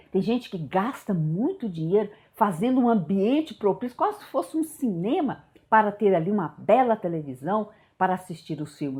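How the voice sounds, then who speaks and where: A woman's pitch rises and falls very widely as she talks at a medium tempo, her voice somewhat breathy. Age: 60s. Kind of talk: devotional teaching talk. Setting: home prayer room.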